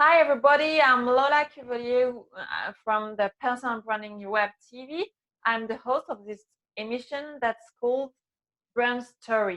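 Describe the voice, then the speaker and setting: A woman with a French accent speaks in a high, bright, sharp voice, showing ordinary pitch variation and big swings in loudness. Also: moderate pace. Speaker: web TV host. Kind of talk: interview. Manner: halting.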